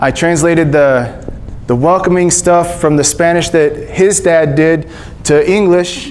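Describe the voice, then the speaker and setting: A man with a high pitch speaks with fairly even intonation and very even loudness. Room echo is audible, and background noise is noticeable. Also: fairly slow pace. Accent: Texas. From Texas, Panhandle then Gulf Coast. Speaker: missionary speaker. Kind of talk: church talk. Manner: casual, halting with fillers.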